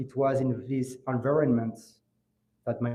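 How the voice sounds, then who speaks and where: A man's monotone, flat voice at a fairly slow pace. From France (Grigny, south of Paris), Moroccan family. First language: French. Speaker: law student, scholarship essay winner. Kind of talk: memorial speech. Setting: ceremony with audience. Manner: halting.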